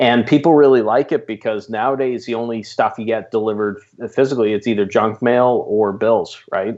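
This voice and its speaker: With a Canadian accent and a normal speaking voice, the speaker talks at a fairly quick pace with fairly even intonation. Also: man, medium pitch for a man. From Canada. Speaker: business coach. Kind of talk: podcast interview.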